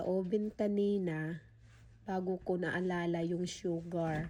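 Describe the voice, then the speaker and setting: Her voice sits at a medium pitch. The woman's intonation stays flat and monotone. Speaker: food and pet vlogger. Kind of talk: casual vlog.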